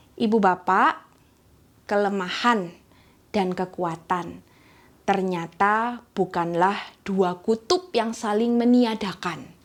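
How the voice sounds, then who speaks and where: Loudness stays very even as a woman speaks very slowly at medium pitch. She has a strong East Javanese accent and ordinary pitch variation. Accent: thick East Javanese. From East Java, Indonesia (Gresik). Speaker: church elder. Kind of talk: sermon.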